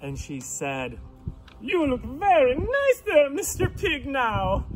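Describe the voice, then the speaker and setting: The speaker uses a put-on character voice at a fairly slow pace. Clear background noise runs underneath. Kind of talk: bedtime story. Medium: read story.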